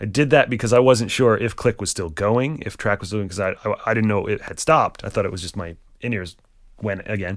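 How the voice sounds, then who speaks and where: A man with a plain, everyday voice and an American accent talks at a fairly quick pace and fairly low pitch. His pitch varies in an ordinary way on a very clean recording with a silent background. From Rhode Island, US. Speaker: touring drummer. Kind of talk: casual interview.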